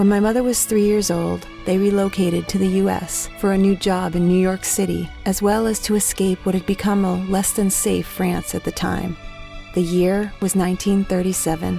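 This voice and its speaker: Faint music plays behind a woman speaking at a moderate pace with very even loudness. The sound is dry with no echo. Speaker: voice actor. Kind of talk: autobiographical storytelling. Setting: studio. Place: studio. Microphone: studio mic.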